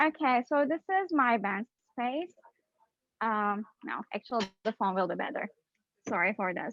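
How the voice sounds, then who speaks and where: In a Turkish accent, a woman talks at a moderate pace with lively intonation. Long, frequent pauses break up her speech. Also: fairly high pitch for a woman. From Turkey, Istanbul. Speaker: PhD student scientist. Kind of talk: educational outreach talk on video call.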